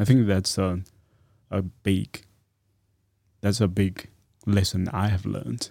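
At a fairly slow pace, a man speaks in a fairly low voice with a dark, mellow tone and fairly even intonation. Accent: Chinese. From China. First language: Chinese. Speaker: postgraduate student. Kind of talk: casual chat. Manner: halting.

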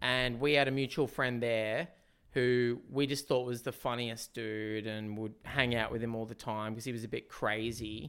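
Speaking in an Australian accent, a man holds a moderate pace with monotone, flat intonation. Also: medium pitch for a man. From Newcastle, Australia. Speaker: comedian and musician. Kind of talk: casual chat.

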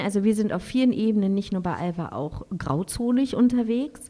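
A woman with a dark, mellow tone talks at a fairly high pitch with ordinary pitch variation. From Berlin, Germany. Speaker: traveling mother, van-life family. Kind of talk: casual interview.

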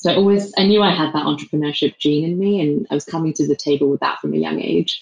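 Talking at a very fast pace, a woman uses a very deep, low pitch with fairly even intonation. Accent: English. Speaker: beverage company co-founder. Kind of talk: interview. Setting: remote call.

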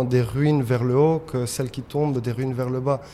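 Fairly even intonation marks a man's medium-pitched voice. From Spain, Madrid. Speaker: painter. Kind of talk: interview. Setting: artist's studio. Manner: halting.

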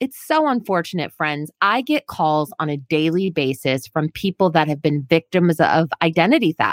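A woman talks with hardly any pauses. Her tone is animated and her intonation lively. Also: moderate pace. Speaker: credit expert radio host. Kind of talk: radio DJ patter, upbeat show intro with catchphrases and sign-off. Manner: high-energy, animated, chatty and punchy, talking directly to listeners; enthusiastic, playful, with sound effects and slang.

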